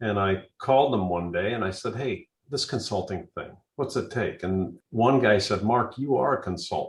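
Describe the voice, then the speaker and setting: A man talks in a fairly low, somewhat breathy voice. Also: lively intonation, moderate pace. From US Midwest, central Iowa. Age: 60s. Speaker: building consultant. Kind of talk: podcast interview.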